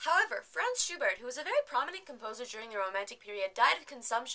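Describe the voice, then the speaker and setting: The bright, sharp voice of a woman sits at a high pitch and moves through very wide pitch swings. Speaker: vlogger. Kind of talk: casual vlog chat. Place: home room. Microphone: webcam.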